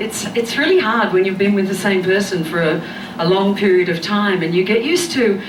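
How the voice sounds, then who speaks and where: In an Australian accent, a woman talks at a fairly quick pace and medium pitch. Noticeable background noise and audible room echo surround her voice. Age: 40s. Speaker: comedian. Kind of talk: stand-up. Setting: stage with audience.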